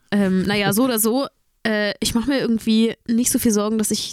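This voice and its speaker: A woman's fairly high voice, a plain, everyday voice, at a fairly quick pace, in a very clean recording with a silent background and a dry, close sound with no echo. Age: 20s. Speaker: singer. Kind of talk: casual chat.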